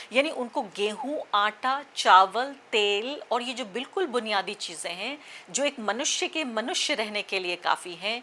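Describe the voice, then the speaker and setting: Her fairly high voice rising and falling in lively intonation, a woman talks with hardly any pauses. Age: middle-aged. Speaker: journalist / news commentator. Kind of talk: opinion commentary. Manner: impassioned, direct address.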